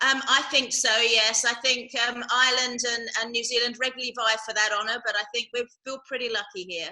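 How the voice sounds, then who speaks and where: A woman talks in a high pitch at a fairly quick pace, with hardly any pauses. Her intonation stays fairly even. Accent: English. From England. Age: 50s. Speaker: charity director. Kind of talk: casual interview. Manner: hesitant with many ums.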